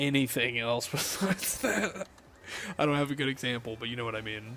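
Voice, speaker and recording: A man with an American accent talks at a fairly quick pace in an animated tone, his pitch medium with ordinary variation. Noticeable background noise sits behind him. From US South. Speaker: gaming streamer. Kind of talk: casual live stream chat. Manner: casual, animated.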